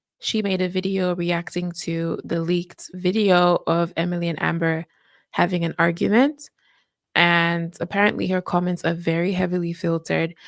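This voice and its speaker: In a very clean recording with a silent background, a woman with a fairly low pitch speaks at a moderate pace with fairly even intonation. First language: not English. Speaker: reaction youtuber. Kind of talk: casual commentary.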